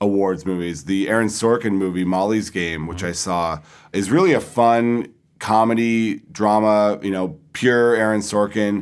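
A man with a normal speaking voice talks at a fairly slow pace, his fairly low pitch carrying ordinary pitch variation, on a very clean recording with a silent background. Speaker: entertainment magazine editor. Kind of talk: casual discussion. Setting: film festival.

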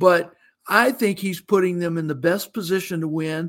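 Music plays in the background as a man with a high voice speaks at a fairly slow pace. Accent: American. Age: 50s. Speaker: college football reporter. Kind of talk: sports preview interview.

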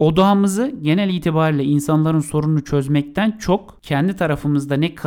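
On a very clean recording with a silent background, a man talks at a moderate pace with a fairly high pitch and lively intonation in a normal speaking voice. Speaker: podcast co-host on marketing. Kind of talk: podcast monologue on marketing.

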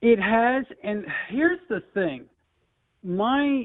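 A man speaks with an American accent. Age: 40s. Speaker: sports radio caller, hockey fan. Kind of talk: call-in radio chat. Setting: phone call.

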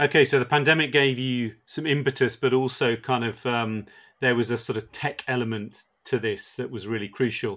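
With a British accent, the speaker keeps a moderate pace and fairly even intonation with hardly any pauses, all in a very clean recording with a silent background. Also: man, medium pitch for a man. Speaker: podcast host and editor. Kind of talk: interview.

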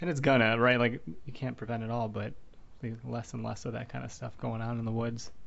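An American-accented man of medium pitch, fairly quick and fairly even in intonation, with audible room echo. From Wisconsin. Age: 30s. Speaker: podcast host. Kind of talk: casual interview.

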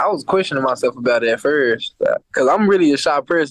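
A man speaks at a fairly quick pace, with a dry, close sound and no echo. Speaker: NFL player. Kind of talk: interview.

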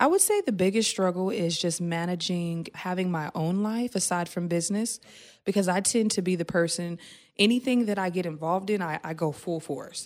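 An unremarkable speaking voice with an American accent and ordinary pitch variation sits in a very clean recording with a silent background. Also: woman, medium pitch for a woman, fairly quick pace. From Oklahoma, Tulsa. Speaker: beauty entrepreneur. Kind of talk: interview. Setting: studio.

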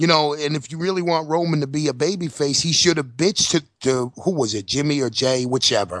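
This man speaks with a New York accent at a fairly quick pace, his pitch fairly high and its variation ordinary. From New York City. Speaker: podcast co-host. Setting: studio.

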